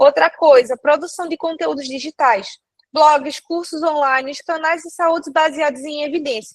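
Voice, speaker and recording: Her pitch high for a woman, she talks at a fairly slow pace with fairly even intonation, and the sound is dry and close with no echo. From Brazil, countryside. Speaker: nursing teacher. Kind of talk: online lecture. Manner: casual, joking.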